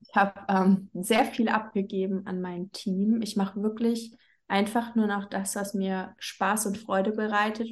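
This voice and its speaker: Against a quiet background, a woman speaks at a medium pitch and fairly slow pace. Her voice is somewhat breathy, with monotone, flat intonation. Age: 30s. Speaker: business coach. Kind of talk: casual interview.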